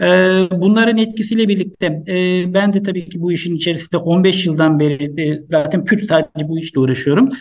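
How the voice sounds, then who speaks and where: This man talks at a fairly quick pace in a high pitch with ordinary pitch variation. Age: 50s. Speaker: doctor. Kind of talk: interview. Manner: hesitant, many fillers.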